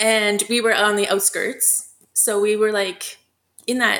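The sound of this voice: A woman's medium-pitched voice with vocal fry, a fairly bright tone and little pitch movement.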